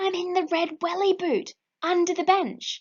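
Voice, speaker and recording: A woman performs a put-on character voice at an extremely high pitch. She keeps a moderate pace. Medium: read story. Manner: mumbling.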